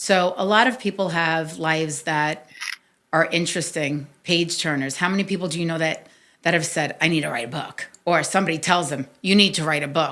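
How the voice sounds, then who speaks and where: On a very clean recording with a silent background, a woman with a New York accent speaks at a fairly quick pace and fairly low pitch, her bright, sharp, animated tone showing ordinary pitch variation. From New York City, Staten Island. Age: 50s. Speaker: podcast host. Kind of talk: interview, telling own life story.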